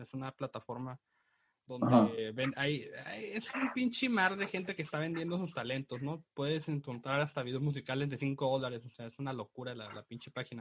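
Recorded dry and close with no echo, a man speaks in a somewhat breathy voice at a fairly high pitch with ordinary pitch variation. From Mexico, Tijuana. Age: 20s. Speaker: graphic designer and podcast co-host. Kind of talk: casual chat.

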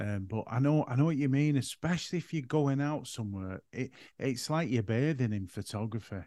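A man with a northern English accent speaks at a fairly quick pace in a medium pitch. His tone is dark and mellow, and his intonation is lively. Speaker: podcast host and photographer. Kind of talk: solo podcast monologue; casual interview chat. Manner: voice sounds quiet.

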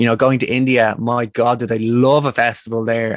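Talking at a fairly quick pace in a Dublin accent, a man keeps a monotone, flat intonation in a dry, close sound with no echo. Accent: Dublin Irish. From Ireland, Dublin. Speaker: men's work facilitator. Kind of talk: casual interview conversation.

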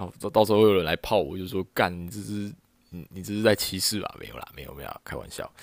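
Talking at a very fast pace, a man with a fairly low pitch sounds animated, with big swings in loudness and ordinary pitch variation, on a very clean recording with a silent background. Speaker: podcast host. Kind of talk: casual solo monologue. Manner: animated, lots of laughter and filler.

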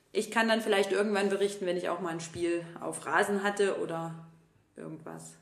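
Audible room echo hangs around this voice. It belongs to a woman speaking at a medium pitch. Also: fairly even intonation, moderate pace. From Saxony, Vogtland (Plauen), Germany. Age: 30s. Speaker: podcast co-host, teacher. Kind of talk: casual chat.

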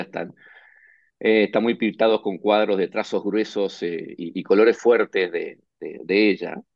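Talking at a fairly slow pace, a man with a fairly low pitch keeps his intonation fairly even. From Argentina, Buenos Aires. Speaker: management consultant. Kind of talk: interview.

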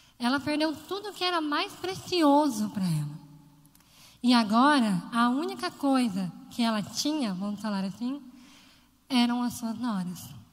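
Against audible room echo, a woman with a high pitch talks at a fairly slow pace, her pitch swinging very widely and her speech broken by long, frequent pauses. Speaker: lay preacher. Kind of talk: sermon.

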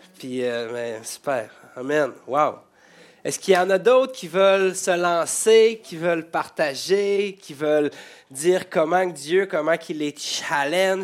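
Very slow delivery with lively intonation and big swings in loudness, on a very clean recording with a silent background. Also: man, high pitch for a man. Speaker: pastor. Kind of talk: church service hosting. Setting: church. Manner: halting.

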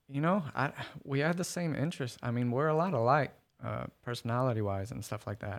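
Speaking at a fairly quick clip with an American accent, a man uses an unremarkable speaking voice and lively intonation on a very clean recording with a silent background. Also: medium pitch for a man. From Oklahoma City, South side. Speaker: product analyst. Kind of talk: casual interview chat.

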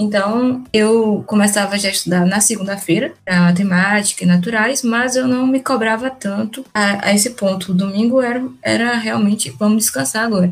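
Against noticeable background noise, a woman talks with hardly any pauses, very even loudness and a fairly high pitch. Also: ordinary pitch variation, moderate pace. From Salvador, Bahia, Brazil. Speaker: medical student. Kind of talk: casual chat.

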